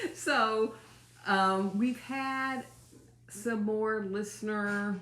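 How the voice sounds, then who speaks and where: There is noticeable background noise and audible room echo as a woman speaks at a medium pitch with ordinary pitch variation. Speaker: channel owner, co-host with her mother. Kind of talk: casual chat. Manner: loud, projecting.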